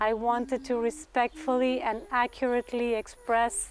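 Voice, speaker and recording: A woman with a Spanish accent talks at a fairly high pitch with fairly even intonation. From Argentina. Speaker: graduate student performance artist. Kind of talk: thesis presentation reading. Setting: graduate talk to audience. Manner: formal.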